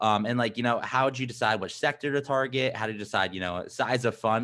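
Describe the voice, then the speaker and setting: Delivered at a very fast pace, the speech sits on a very clean recording with a silent background. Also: man. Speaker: podcast host. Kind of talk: interview. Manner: energetic; halting, many fillers.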